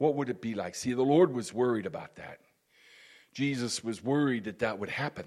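On a very clean recording with a silent background, a man talks at a fairly quick pace. He has a normal speaking voice with a medium pitch and ordinary pitch variation. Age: 60s. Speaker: pastor. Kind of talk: sermon. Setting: church.

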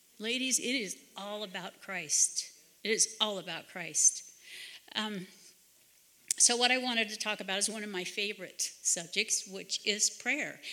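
At a fairly slow pace, a woman with a fairly high pitch talks in an unremarkable speaking voice with ordinary pitch variation. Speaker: retreat speaker. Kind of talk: testimony.

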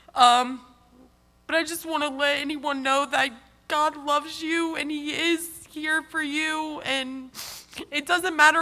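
Speaking at a fairly slow pace, a woman uses a raised, projected voice that is high in pitch, bright and sharp in tone, and monotone and flat in intonation. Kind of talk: testimony.

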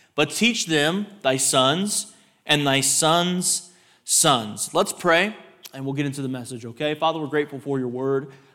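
An animated man with a Texan accent, a bright, sharp tone, fairly high pitch with ordinary pitch variation, and a fairly slow pace. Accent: Texan American. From Texas. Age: 30s. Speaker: visiting preacher. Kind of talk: sermon. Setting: church.

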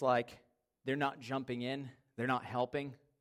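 Recorded very cleanly against a silent background, a man speaks at a medium pitch. His pace is fairly slow. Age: 30s. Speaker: pastor. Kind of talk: sermon.

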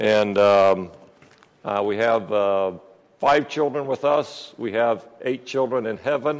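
The speaker has an American accent and ordinary pitch variation. The pace is very slow. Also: man, medium pitch for a man. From Peru (American missionary family). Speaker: lay preacher. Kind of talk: sermon.

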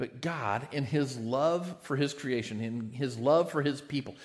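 Audible room echo surrounds a man speaking at a medium pitch. His pace is fairly slow, with ordinary pitch variation. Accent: American. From United States. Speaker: pastor. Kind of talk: sermon.

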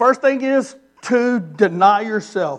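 Loud and extremely high-pitched, a man speaks with a Southern US accent and lively intonation. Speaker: missionary preacher. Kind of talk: sermon. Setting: church.

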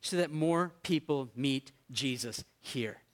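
Heard in a dry, close sound with no echo, a man speaks with a New England accent. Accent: American (New England). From US Northeast (Maine). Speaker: pastor. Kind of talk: sermon.

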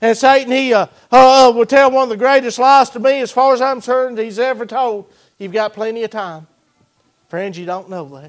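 An extremely high-pitched male voice at a moderate pace, with ordinary pitch variation and big swings in loudness. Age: 40s. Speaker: guest preacher. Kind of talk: sermon. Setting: church. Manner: halting, many fillers.

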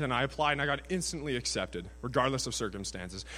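In a very clean recording with a silent background, a man with a Canadian accent talks at a very fast pace, his bright, sharp tone carrying vocal fry and very wide pitch swings. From Canada, British Columbia (Prince George). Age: 20s. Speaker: student sharing his faith story. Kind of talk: testimony.

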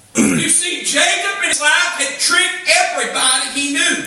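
A man speaking at a very slow pace over noticeable background noise. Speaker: preacher. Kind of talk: sermon. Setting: church. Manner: animated, call-and-response, with crowd prompts like 'say amen'; conversational, emphatic repetition and stumbling phrases.

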